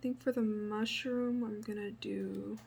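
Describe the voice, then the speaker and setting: A soft-spoken voice at a very slow pace. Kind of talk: ASMR painting tutorial.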